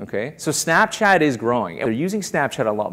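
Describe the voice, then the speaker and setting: With vocal fry and a fairly high pitch, a man speaks at a fairly quick pace. His pitch swings very widely. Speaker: keynote speaker on automotive. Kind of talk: keynote conference talk to an audience.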